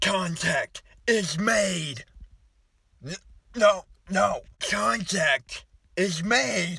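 A man at a very slow pace, the sound dry with no echo. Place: car. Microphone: phone near.

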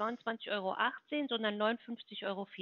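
The speaker sounds confident, with fairly even intonation. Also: woman. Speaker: health insurance sales caller. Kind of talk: phone sales pitch. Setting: phone call. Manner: confident, fluent.

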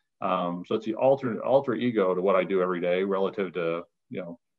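Against a quiet background, a man talks at a fairly quick pace with a fairly low pitch in an unremarkable speaking voice. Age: 50s. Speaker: data center company president; guest. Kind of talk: interview. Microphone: video call.

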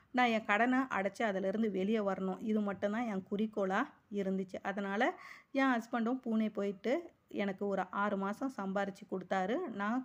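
The intonation is fairly even. It is an unremarkable speaking voice. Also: woman, medium pitch for a woman. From Chennai, Tamil Nadu. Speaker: personal finance vlogger. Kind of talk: vlog monologue.

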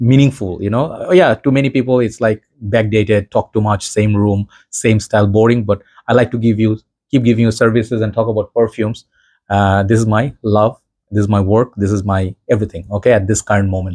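Against a quiet background, a man speaks fairly quickly with a fairly low pitch and fairly even intonation. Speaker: perfume reviewer. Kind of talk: casual vlog chat. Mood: warm, reflective. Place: home room.

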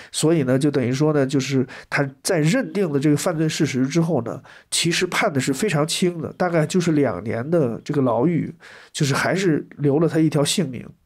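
In a plain, everyday voice, a man speaks at a moderate pace with a fairly high pitch and ordinary pitch variation, on a very clean recording with a silent background. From southwest Shandong, China. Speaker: anthropologist, university lecturer. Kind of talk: interview discussion.

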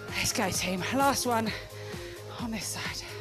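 Clear music plays in the background while a woman speaks at a fairly slow pace. The sound is dry, with no echo. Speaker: fitness instructor. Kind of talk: exercise class instruction. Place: gym. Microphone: headset.

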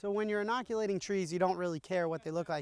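A man's high-pitched voice, dry with no echo. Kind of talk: interview answer. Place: open country.

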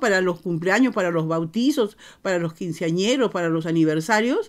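The speech moves at a moderate pace over a quiet background. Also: woman. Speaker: interviewer host. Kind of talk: casual interview chat. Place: home room.

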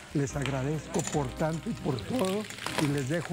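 The pace is moderate. Clear music sounds in the background. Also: man. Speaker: TV cooking show host. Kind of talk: cooking show presenting, addressing viewers. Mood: grateful, celebratory. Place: studio. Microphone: lapel.

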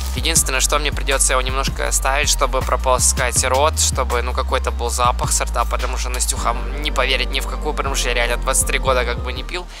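Over clear music in the background, a man with a very deep, low pitch speaks at a very fast pace with fairly even intonation, the sound dry with no echo. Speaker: vlogger. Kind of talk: casual vlog chat. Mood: playful, scheming a prank. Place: street. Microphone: phone near.

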